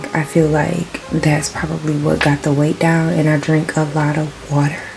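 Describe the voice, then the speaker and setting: Whispering at a moderate pace with very even loudness, over noticeable background noise. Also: woman. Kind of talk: casual vlog. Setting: at home.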